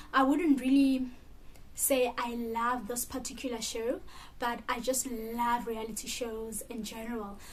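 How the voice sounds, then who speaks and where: In a South African accent, a woman with a high pitch speaks at a moderate pace with fairly even intonation, and audible room echo surrounds her. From South Africa, Mpumalanga (Middelburg). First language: Sepedi. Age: 20s. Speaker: vlogger. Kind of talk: casual chat.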